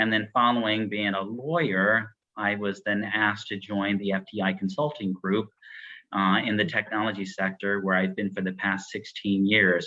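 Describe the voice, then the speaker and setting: At a moderate pace, a man with a fairly low pitch and fairly even intonation has an unremarkable speaking voice. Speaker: consulting executive. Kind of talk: panel discussion.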